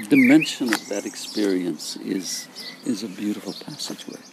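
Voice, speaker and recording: Someone with an American accent speaks at a fairly slow pace in a calm tone. Noticeable background noise runs beneath the voice. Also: man. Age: 80s+. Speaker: psychologist and founder of an imagery therapy method. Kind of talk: interview. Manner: calm, reflective.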